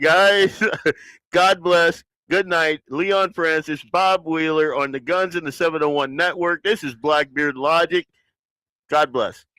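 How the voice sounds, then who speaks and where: On a very clean recording with a silent background and a dry, close sound without echo, a man with a Southern US accent speaks at a fairly slow pace in a high, bright, sharp voice with fairly even intonation. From US South. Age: 50s. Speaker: podcast host. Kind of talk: casual chat. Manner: casual, relaxed.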